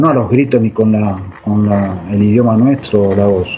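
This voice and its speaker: Here a man talks at a moderate pace. He speaks with an Argentine accent. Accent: Rioplatense Argentine Spanish. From Argentina, Buenos Aires. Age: 60s. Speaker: alleged UFO contactee; interviewee. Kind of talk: interview testimony. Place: home room. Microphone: video call.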